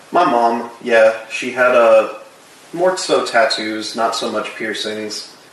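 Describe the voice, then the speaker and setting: A man's medium pitch with an American accent and ordinary pitch variation, very slow pace, audible room echo and noticeable background noise. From Florida, Tampa Bay. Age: 20s. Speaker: body piercer. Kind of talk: casual interview. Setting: at home.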